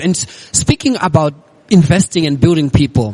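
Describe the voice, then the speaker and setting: Fairly high-pitched male speech at a fairly quick pace, with ordinary pitch variation and noticeable background noise. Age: young. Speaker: podcast host and public speaker. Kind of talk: casual interview. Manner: fluent, articulate.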